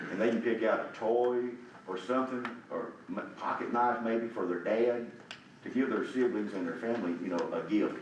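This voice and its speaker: A man at medium pitch and moderate pace, ordinary pitch variation, audible room echo and noticeable background noise. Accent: Tennessee. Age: 70s. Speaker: community volunteer. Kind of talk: public comment at a county meeting. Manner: halting, repetitive.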